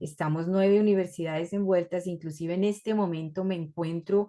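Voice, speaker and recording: Her tone dark and mellow, a woman speaks at a fairly low pitch with fairly even intonation. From Colombia and Ecuador. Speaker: researcher and university lecturer. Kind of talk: academic presentation. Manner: hesitant, many fillers.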